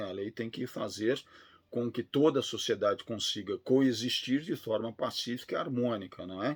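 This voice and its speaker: A man with a Brazilian accent talks at a moderate pace and a medium pitch, with ordinary pitch variation. The recording is very clean, with a silent background. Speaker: law professor. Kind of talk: lecture.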